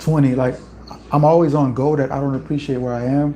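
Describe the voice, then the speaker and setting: Over noticeable background noise, a man speaks fairly quickly in a fairly high pitch. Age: 20s. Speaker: youtuber, musician. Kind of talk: livestream chat. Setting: home livestream. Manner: casual, conversational.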